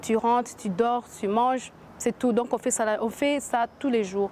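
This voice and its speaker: A woman with a fairly high pitch speaks in a flat, monotone way. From US, Washington. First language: English (speaking French). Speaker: entrepreneur. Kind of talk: interview. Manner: halting, many hesitations.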